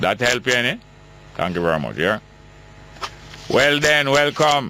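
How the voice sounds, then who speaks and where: A man talks at a moderate pace, his pitch swinging very widely. There is noticeable background noise. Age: 60s. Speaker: radio talk show host. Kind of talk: call-in radio show.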